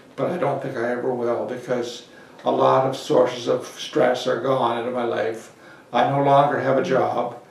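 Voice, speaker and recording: Audible room echo surrounds a man with a medium-pitched voice. He keeps a moderate pace and fairly even intonation. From Prince Edward Island, Canada. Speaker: oral history interviewee. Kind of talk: oral history interview answer. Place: office.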